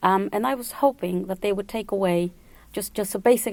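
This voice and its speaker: Someone with a Spanish accent speaks at a very fast pace. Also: woman. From El Salvador, moved to New York at 11. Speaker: Spanish tutor. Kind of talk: radio interview.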